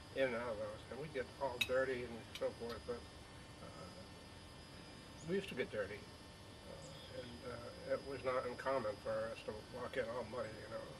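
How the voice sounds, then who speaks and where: Noticeable background noise runs behind a man with an American accent. He speaks at a moderate pace with long, frequent pauses. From Burlington, Vermont, US New England. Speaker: elderly interviewee recalling childhood. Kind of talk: oral history interview. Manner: halting, many fillers and repeats.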